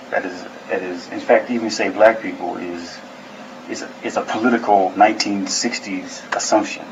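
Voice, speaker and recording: A man speaks at a moderate pace, his loudness swinging widely. Noticeable background noise runs throughout. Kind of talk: interview answer.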